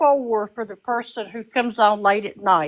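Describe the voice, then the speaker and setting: This woman's voice is fairly high in pitch with ordinary pitch variation. She speaks at a moderate pace. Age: 60s. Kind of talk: casual chat. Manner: calm.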